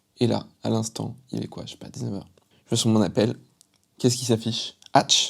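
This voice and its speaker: The man's voice has a dark, mellow tone. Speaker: YouTuber, aspiring MMA announcer. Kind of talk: vlog narration. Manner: loud.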